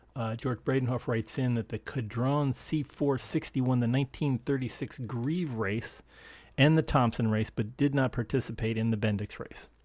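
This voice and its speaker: The recording is very clean with a silent background as a man in an unremarkable speaking voice talks at medium pitch and a moderate pace with fairly even intonation. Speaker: podcast host. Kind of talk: casual chat.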